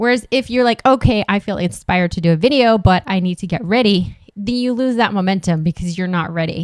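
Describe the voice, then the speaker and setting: A woman talks at a very fast pace with ordinary pitch variation. The recording is very clean with a silent background, and the sound is dry and close with no echo. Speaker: online business coach. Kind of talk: solo tutorial vlog. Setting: home studio with camera. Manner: casual, filler-heavy.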